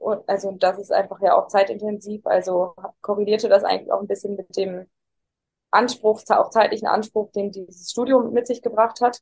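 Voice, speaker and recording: This woman talks at a moderate pace and medium pitch, her intonation fairly even while her loudness swings widely. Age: 20s. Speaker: interviewee sharing personal crisis experience. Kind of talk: interview. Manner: halting.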